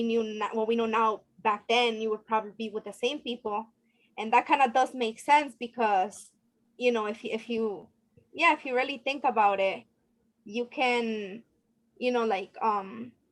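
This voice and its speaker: A woman's fairly high-pitched, an ordinary speaking voice, at a fairly slow pace. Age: 30s. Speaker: group participant. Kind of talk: group discussion.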